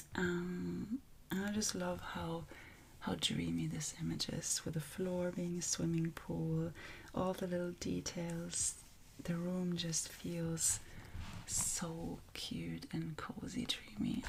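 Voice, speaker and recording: The speaker is soft-spoken, with a calm tone. The pace is very slow. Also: woman. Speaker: coloring artist and ASMR creator. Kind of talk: calm ASMR talk to camera. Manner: calm, soft-spoken.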